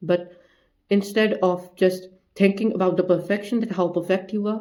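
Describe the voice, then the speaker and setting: Using a non-native accent, a man speaks at a high pitch with a dark, mellow tone and monotone, flat intonation. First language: not English. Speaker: self-improvement YouTuber. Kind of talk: motivational talk to camera. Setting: in front of camera.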